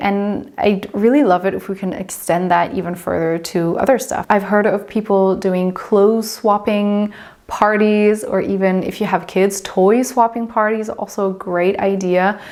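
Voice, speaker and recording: A woman with a German accent speaks at a moderate pace, her medium-pitched voice keeping a fairly even intonation with hardly any pauses. Noticeable background noise runs under the recording. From southern Germany. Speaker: lifestyle vlogger. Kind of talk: vlog talk to camera.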